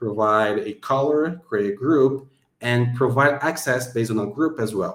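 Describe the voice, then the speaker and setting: The man's voice sits at a medium pitch, and its rise and fall are ordinary. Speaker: software developer presenting his app. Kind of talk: product demo tutorial. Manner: fast.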